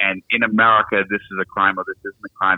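A man talks at a very fast pace. He has a strong Boston accent. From Boston, US. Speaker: law lecturer. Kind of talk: interview discussing politics and law. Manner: thoughtful, hesitant with fillers.

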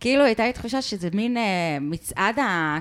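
A loud woman's voice at a moderate pace, with very wide pitch swings. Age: 30s. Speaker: podcast co-host. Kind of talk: casual chat.

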